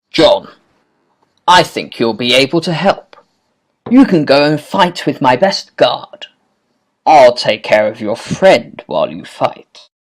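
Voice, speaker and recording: A cartoonish character voice at a middle pitch moves at a fairly slow pace with long, frequent pauses. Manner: commanding.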